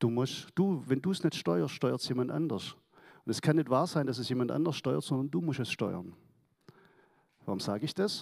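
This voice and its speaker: Moderately paced speech from a man at a medium pitch, with vocal fry and very wide pitch swings. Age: 60s. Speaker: church member giving testimony. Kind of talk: testimony. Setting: church service.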